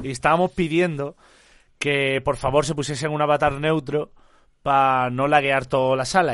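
This man's voice is fairly high-pitched, with an animated tone. He talks at a moderate pace against a quiet background. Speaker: streamer. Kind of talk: live stream chat.

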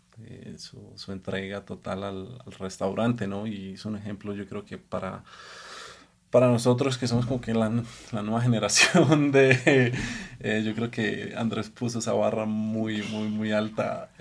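His pace is fairly slow. A man speaks at a fairly low pitch with fairly even intonation. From Colombia. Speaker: executive chef. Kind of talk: casual chat. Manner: halting.

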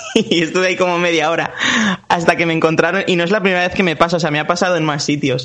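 Over noticeable background noise, a man with a high pitch speaks at a very fast pace with fairly even intonation. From Valencia region, Spain (Puerto de Sagunto). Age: 20s. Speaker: singer and actor. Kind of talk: interview.

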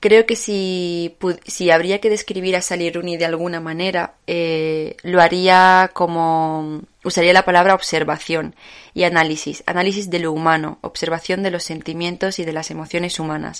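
Against a quiet background, a woman speaks at a moderate pace in a fairly low pitch with monotone, flat intonation. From Morocco (Tetouan). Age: young. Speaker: writer. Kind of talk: literary talk. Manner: hesitant.

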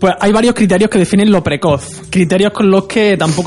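A man speaks at a fairly quick pace with fairly even intonation over noticeable background noise. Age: 20s. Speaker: sexologist and radio co-host. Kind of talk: radio talk show discussion.

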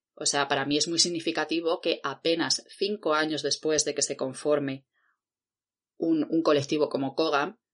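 A woman speaks with a very deep, low voice and fairly even intonation. Her pace is moderate, and the background is quiet. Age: 30s. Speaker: podcast co-host, independent researcher. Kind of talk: casual chat.

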